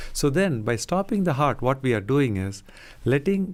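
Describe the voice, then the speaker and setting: Soft-spoken and at a moderate pace, a man uses lively intonation on a very clean recording with a silent background. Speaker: cardiologist. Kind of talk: radio interview. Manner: calm.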